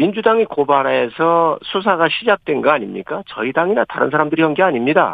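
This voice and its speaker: The speaker is a man with a high pitch. His intonation is lively. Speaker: member of parliament. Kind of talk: political interview. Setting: phone call.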